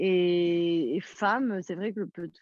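The intonation stays fairly level. The speaker is a woman. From Corsica. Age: 30s. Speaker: singer. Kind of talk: interview.

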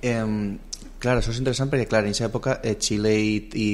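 A man talks at a fairly quick pace in a fairly low voice. His intonation is monotone and flat. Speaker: radio interviewer. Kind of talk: radio interview, hosting. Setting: radio studio. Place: studio.

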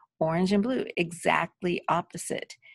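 Vocal fry runs through this woman's speech against a quiet background. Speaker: teacher. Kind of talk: lecture. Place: home room. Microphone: webcam.

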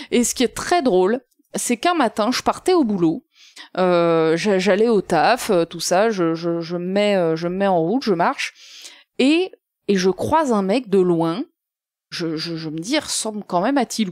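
In a very clean recording with a silent background and a dry, close sound with no echo, a woman with a medium pitch, an animated tone and lively intonation speaks at a fairly slow pace with long, frequent pauses. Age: 30s. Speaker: guest co-host. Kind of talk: casual chat.

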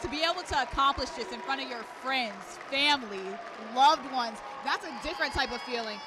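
Against crowd noise but with a dry sound and no echo, a woman speaks fairly quickly in a raised, projected voice, her high pitch showing ordinary variation. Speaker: sports reporter. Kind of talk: studio stand-up reporting, game preview. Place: stadium. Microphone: handheld.

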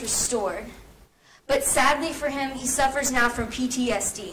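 A woman projects a raised, high-pitched voice at a moderate pace. Her pitch varies in an ordinary way over light background noise. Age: 18. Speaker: student speaker. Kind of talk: persuasive speech. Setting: stage with audience. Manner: animated. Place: classroom. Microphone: camera far.

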